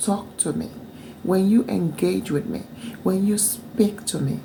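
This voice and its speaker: A woman talks at a fairly slow pace with lively intonation over noticeable background noise. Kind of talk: casual talk to camera.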